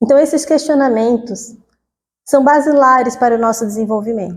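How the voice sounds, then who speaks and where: In a Cuiabá accent, a woman speaks with a high pitch. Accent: Cuiabá accent, noticeable. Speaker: spiritist lecturer. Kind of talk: lecture. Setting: spiritist center talk with audience, microphone. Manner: conversational, chatty.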